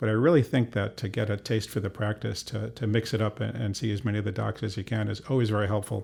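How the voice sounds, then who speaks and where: A man talks at a very fast pace with hardly any pauses, his fairly low pitch carrying vocal fry and fairly even intonation. The recording is very clean, with a silent background. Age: 60s. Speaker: physician. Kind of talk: interview.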